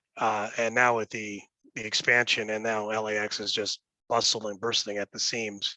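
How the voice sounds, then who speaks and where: A loud man with an American accent speaks at a moderate pace, his fairly low voice bright and sharp in tone but monotone and flat, in a dry, close sound with no echo against a quiet background. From Los Angeles, San Fernando Valley. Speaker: real estate executive. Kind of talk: interview. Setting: office. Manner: hesitant, many fillers.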